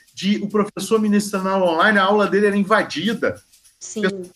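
At a fairly quick pace, a man speaks in a high pitch with a bright, sharp tone. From Goiás, Brazil (born in Bahia). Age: 40s. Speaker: philosophy teacher. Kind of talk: interview.

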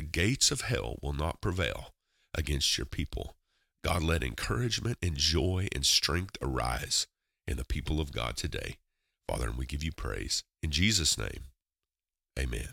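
Very deep and low in pitch yet bright and sharp in tone, a man speaks at a moderate pace with lively intonation and vocal fry, in a very clean recording with a silent background and a dry, close sound with no echo. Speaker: podcast host and prayer minister. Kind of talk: devotional talk and prayer. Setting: solo podcast recording. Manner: fervent.

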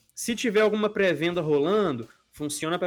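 A man's pitch varies in an ordinary way as he talks. Behind him, music can be heard. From Brazil, Belo Horizonte (Minas Gerais). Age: 20s. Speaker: podcast host. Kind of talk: casual chat.

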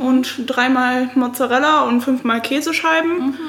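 A woman's high voice at a fairly slow pace over noticeable background noise. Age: 20s. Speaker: student and food-sharing volunteer. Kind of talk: casual interview chat.

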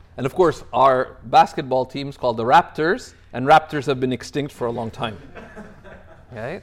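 With a Canadian accent and a normal speaking voice, the speaker keeps a moderate pace, shows ordinary pitch variation, and makes big swings in loudness. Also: man, medium pitch for a man. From Canada (Toronto). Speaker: Islamic scholar and teacher. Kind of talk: religious lecture.

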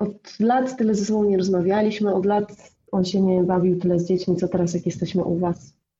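A woman with a dark, mellow, somewhat breathy tone and medium pitch talks at a fairly quick pace with hardly any pauses, fairly even intonation and very even loudness. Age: 40s. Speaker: blogger. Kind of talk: casual chat.

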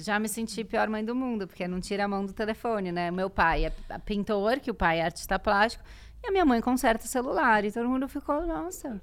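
A woman talks at a fairly quick pace in an ordinary speaking voice. Her pitch is fairly high and her intonation lively. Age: 40s. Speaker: podcaster and writer. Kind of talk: casual chat.

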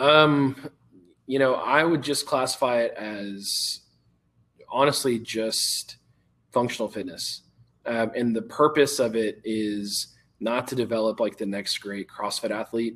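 With an American accent, a man talks in an ordinary speaking voice at a medium pitch, a fairly slow pace and ordinary pitch variation. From Texas. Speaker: youth fitness coach. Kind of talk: interview.

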